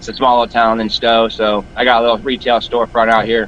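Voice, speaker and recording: Over noticeable background noise, a man with a medium pitch talks fairly quickly. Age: middle-aged. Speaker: rock shop owner. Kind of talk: casual chat. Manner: energetic.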